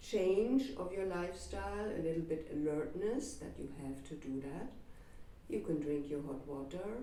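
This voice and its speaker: Audible room echo surrounds a woman's fairly low, dark, mellow voice. She talks at a fairly slow pace with ordinary pitch variation. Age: 70s. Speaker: Ayurvedic doctor. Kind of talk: interview chat.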